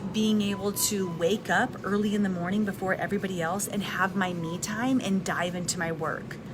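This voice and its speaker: Over noticeable background noise, a soft-spoken woman talks at a medium pitch and moderate pace with fairly even intonation. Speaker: live video host, wellness and personal development content creator. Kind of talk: casual live talk to camera. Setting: recorded in a restaurant with background noise. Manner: soft-spoken, conversational.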